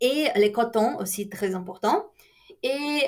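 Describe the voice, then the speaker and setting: A woman's high-pitched voice, rather slow, with extremely wide pitch movement. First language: Portuguese (speaking French). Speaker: university lecturer. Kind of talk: lecture. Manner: halting, many fillers.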